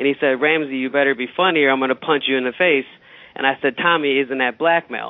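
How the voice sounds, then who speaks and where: This man talks at a very fast pace with a fairly high pitch. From Middle East. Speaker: comedian. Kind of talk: casual chat. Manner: halting.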